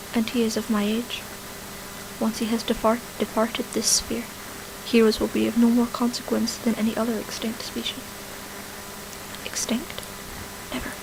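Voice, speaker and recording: A soft-spoken voice with a calm tone moves at a moderate pace in a monotone, flat intonation, leaving long, frequent pauses. Noticeable background noise is present. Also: woman, fairly high pitch for a woman. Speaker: YouTuber who usually makes Minecraft and singing videos. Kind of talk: ASMR audiobook-style reading of a fantasy story with dialogue. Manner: soft-spoken, quiet, calm.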